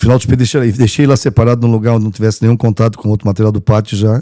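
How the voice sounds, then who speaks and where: The delivery comes at a very fast pace. Its intonation stays monotone and flat. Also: man. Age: 50s. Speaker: veterinarian and former mayor. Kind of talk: interview storytelling.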